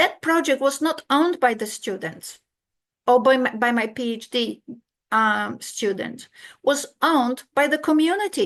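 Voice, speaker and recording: A woman with a Polish accent, high-pitched and fairly slow, with lively intonation against a quiet background. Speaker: keynote speaker, academic. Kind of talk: conference keynote lecture. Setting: video call, online conference. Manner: halting, with false starts.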